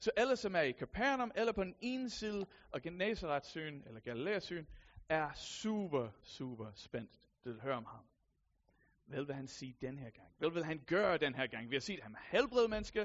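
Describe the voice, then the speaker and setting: A high-pitched man with an American accent speaks at a moderate pace, with very wide pitch swings and big swings in loudness. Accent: American accent in Danish. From USA. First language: English (speaking Danish). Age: 30s. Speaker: lay preacher. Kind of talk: sermon.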